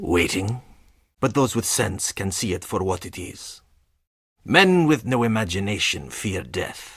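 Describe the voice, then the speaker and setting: At a fairly unhurried tempo, a man delivers his lines. He uses a put-on character voice, pitched fairly low. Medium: video game. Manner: cold, curt.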